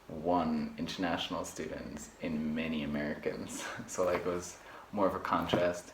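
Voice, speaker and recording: Lively intonation marks this man's speech at a moderate pace. Noticeable background noise sits behind him. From Luxembourg. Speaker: university student. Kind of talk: interview answer. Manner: casual, filler-heavy.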